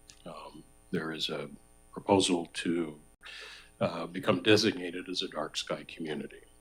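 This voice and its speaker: Over music in the background, a man speaks at a very deep, low pitch with fairly even intonation. His loudness swings widely, and he leaves long, frequent pauses. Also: moderate pace. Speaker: resident speaking at public participation. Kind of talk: public comment at council meeting.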